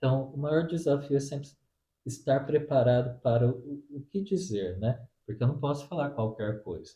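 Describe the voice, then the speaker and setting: A man's somewhat breathy, fairly high-pitched voice with a dark, mellow tone. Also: ordinary pitch variation, moderate pace. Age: 40s. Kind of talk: interview answers. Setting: at the guest's home.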